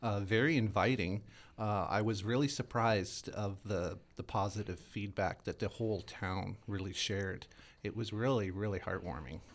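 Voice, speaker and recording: A man has a plain, everyday voice with a fairly low pitch and ordinary pitch variation. He talks at a moderate pace in a very clean recording with a silent background. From Winnipeg, Manitoba, Canada. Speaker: drag performer. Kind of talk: interview.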